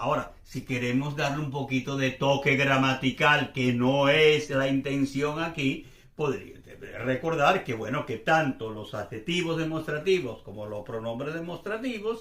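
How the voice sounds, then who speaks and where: At a fairly slow pace, a man with fairly high pitch speaks with ordinary pitch variation. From Venezuela. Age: 60s. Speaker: language teacher. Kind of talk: casual explanatory chat. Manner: relaxed, conversational.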